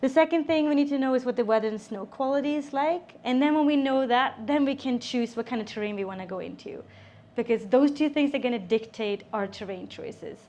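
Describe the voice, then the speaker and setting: Speaking at a fairly quick pace with a Swedish accent, a woman has a high pitch, ordinary pitch variation and a dark, mellow tone. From Sweden. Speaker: avalanche safety instructor. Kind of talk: seminar presentation. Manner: casual, with filler words.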